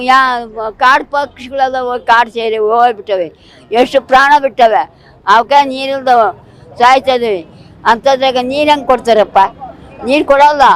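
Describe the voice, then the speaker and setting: Against noticeable background noise, a woman speaks in a high voice with ordinary pitch variation. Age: 80s+. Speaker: protester. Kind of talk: interview answer. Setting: outdoors. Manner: impassioned, defiant.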